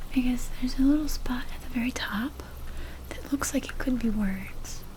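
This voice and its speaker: Soft-spoken delivery at a fairly slow pace, with noticeable background noise. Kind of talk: soft-spoken ASMR talk to camera while cataloging books.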